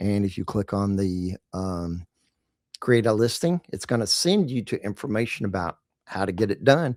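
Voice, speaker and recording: At a moderate pace, a man with a Texas accent speaks at a fairly low pitch. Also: ordinary pitch variation, very clean recording, silent background. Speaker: marketing podcast host, directory owner. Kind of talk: casual chat.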